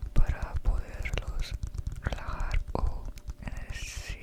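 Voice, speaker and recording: A whisper unfolds very slowly, with noticeable noise in the background. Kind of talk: casual greeting to viewers. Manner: whispered.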